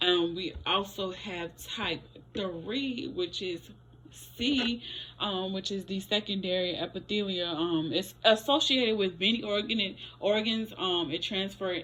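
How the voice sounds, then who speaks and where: A woman at a medium pitch, at a fairly slow pace. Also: ordinary pitch variation. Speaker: student presenter. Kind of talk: class presentation. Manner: halting, many fillers.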